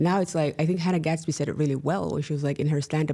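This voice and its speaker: With a Somali accent, a woman speaks in a very deep, low pitch with ordinary pitch variation on a very clean recording with a silent background. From Somalia, then Finland from age seven. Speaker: activist and columnist. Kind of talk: casual interview chat.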